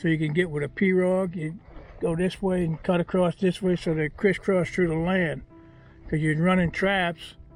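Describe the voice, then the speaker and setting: Music plays in the background while the speaker talks at a moderate pace in a monotone, flat intonation. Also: man. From South Louisiana. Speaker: duck hunter, former trapper. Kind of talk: interview answer.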